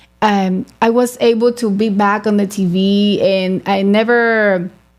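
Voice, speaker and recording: Ordinary pitch variation in a Spanish accent. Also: woman. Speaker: beauty pageant titleholder. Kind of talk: interview. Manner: halting.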